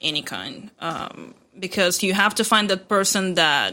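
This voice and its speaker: Recorded very cleanly against a silent background, a woman with a non-native accent speaks at a fairly low pitch in a bright, sharp tone with fairly even intonation. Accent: foreign. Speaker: fitness competitor. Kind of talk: interview answer.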